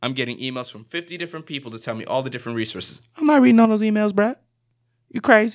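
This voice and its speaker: Very fast and with an American accent, a man speaks at a high pitch, with very wide pitch swings and big swings in loudness, on a very clean recording with a silent background. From US South, South Florida (Broward County). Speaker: graduate student leader. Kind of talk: casual chat. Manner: animated.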